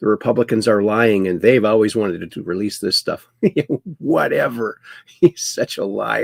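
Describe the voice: Ordinary pitch variation in plain reading aloud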